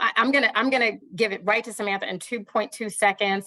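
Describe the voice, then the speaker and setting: A woman speaks at a fairly quick pace in a bright, sharp tone. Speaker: executive director of a government advisory council. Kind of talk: virtual public meeting remarks. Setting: video call. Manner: fast.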